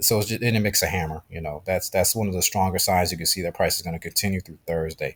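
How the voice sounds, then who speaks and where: On a very clean recording with a silent background, a man talks at a very fast pace in a somewhat breathy voice. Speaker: trading educator. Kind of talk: tutorial. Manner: casual, with fillers.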